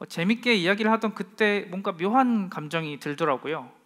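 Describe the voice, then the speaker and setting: Pitched high, a man speaks at a moderate pace in a bright, sharp tone. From South Korea, Masan (South Gyeongsang). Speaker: local brand founder, speaker. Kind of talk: stand-up lecture talk. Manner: frequent filler hesitations.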